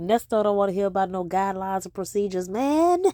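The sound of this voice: A woman with a medium pitch and a dark, mellow tone speaks at a fairly quick pace with lively intonation.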